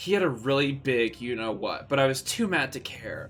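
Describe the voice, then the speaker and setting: A man speaks in a plain, everyday voice at a medium pitch. He keeps a fairly quick pace with ordinary pitch variation. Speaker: livestreamer. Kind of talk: comedic dramatic reading.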